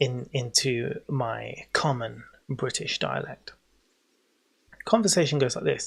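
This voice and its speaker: With an English accent, the speaker talks at a very slow pace, leaving long, frequent pauses. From England. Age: 40s. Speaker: gaming streamer. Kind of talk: livestream commentary. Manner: animated.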